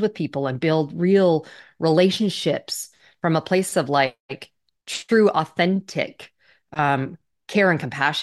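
Against a quiet background, a woman talks in a very deep, low voice. Her pitch varies in an ordinary way. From Canada. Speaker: business executive. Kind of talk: interview.

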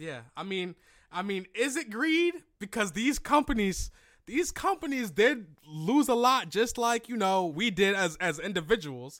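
Here a man talks at a fairly slow pace in a high pitch. His tone is animated, with very wide pitch swings. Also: very clean recording, silent background. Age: 20s. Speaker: podcast host. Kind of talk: casual chat.

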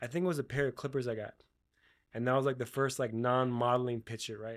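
In a very clean recording with a silent background, a man with an American accent talks at a fairly quick pace, medium in pitch, with fairly even intonation. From Florida (Miami), later Utah. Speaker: hairstylist and educator. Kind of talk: casual chat.

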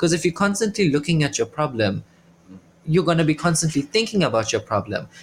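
Speaking very fast with vocal fry, a man with a fairly high pitch swings very widely in pitch while keeping his loudness very even. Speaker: podcast host.

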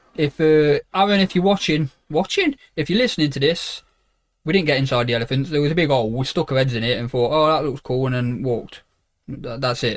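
Speaking at a very fast pace with an East Midlands accent, a man uses a fairly high pitch with ordinary variation. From Derby, England. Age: 20s. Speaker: podcast co-host, photographer. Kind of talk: casual chat. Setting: small box room at home.

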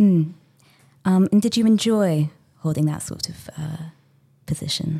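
A woman speaks at a fairly slow pace, somewhat breathy, with long, frequent pauses, ordinary pitch variation and big swings in loudness. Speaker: podcast host. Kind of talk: casual interview conversation.

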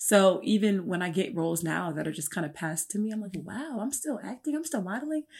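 On a very clean recording with a silent background, a woman's somewhat breathy, medium-pitched voice races along in an animated tone, hardly pausing and swinging widely in pitch. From Newark, New Jersey. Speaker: fitness coach, model and actress. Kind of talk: casual interview chat.

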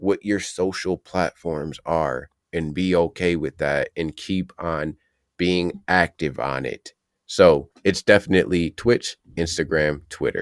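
A man with an American accent speaks at a very slow pace, his very deep, low voice showing vocal fry and fairly even intonation. The recording is very clean with a silent background, and the sound is dry and close with no echo. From Ohio, US. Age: 30s. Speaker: content creator. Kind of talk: casual interview chat.

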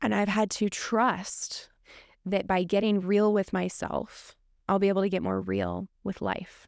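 A woman talks at a fairly slow pace on a very clean recording with a silent background. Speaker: podcast host. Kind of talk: solo podcast intro, personal storytelling. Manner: nervous, conversational, halting with fillers.

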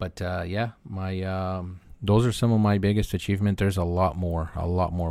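Very deep, low male speech with fairly even intonation, recorded very cleanly against a silent background. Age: 30s. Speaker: tech entrepreneur and company founder. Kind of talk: interview. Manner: halting, many fillers.

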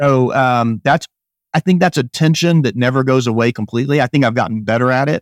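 A man in an ordinary speaking voice talks at a fairly quick pace with a medium pitch, ordinary pitch variation and big swings in loudness. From Northwest Arkansas, US South. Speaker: emergency physician. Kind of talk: interview conversation.

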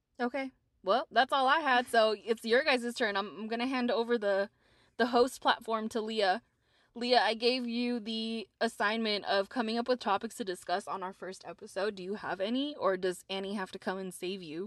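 A woman with a plain, everyday voice, fairly high in pitch, at a moderate pace with ordinary pitch variation, big swings in loudness, a dry, close sound with no echo and a quiet background. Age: 30s. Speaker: podcast host. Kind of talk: casual chat.

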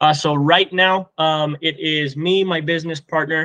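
A man with an American accent and a normal speaking voice talks at a fairly slow pace with fairly even intonation. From Colorado. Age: 20s. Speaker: pest control business owner. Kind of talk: casual interview.

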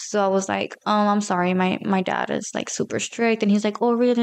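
Over a quiet background, a woman talks at a fairly quick pace. Her medium-pitched voice has monotone, flat intonation. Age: 20s. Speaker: guest. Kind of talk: casual chat.

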